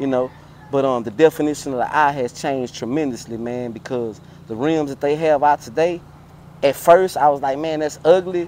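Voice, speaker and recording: This man has a plain, everyday voice with an American accent, a fairly high pitch, ordinary pitch variation and a moderate pace, recorded dry with no echo over light background noise. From Houston, Texas (Fifth Ward); Texas. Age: 40s. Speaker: car culture veteran, former street figure; interview guest. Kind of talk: casual interview. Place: street.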